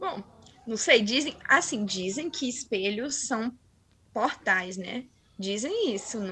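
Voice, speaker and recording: Over noticeable background noise, a woman with a fairly high pitch and lively intonation talks at a very slow pace with long, frequent pauses. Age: 20s. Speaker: paranormal experience narrator. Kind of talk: testimony.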